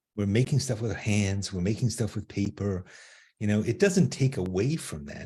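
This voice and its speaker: A man speaks in a somewhat breathy, dark, mellow voice, fairly low in pitch with ordinary pitch variation, against a quiet background. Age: 80s+. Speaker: artist and art teacher. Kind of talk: casual interview. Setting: live stream on social media.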